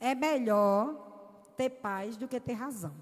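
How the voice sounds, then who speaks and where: A woman speaks with audible room echo around her. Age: 60s. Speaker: women's conference preacher. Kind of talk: sermon. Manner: animated.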